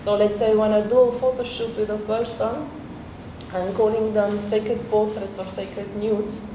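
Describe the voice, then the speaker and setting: A woman in a Slovenian accent speaks at a moderate pace with fairly high pitch and monotone, flat intonation. Noticeable background noise and audible room echo fill the recording. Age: 40s. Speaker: photographer. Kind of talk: public talk.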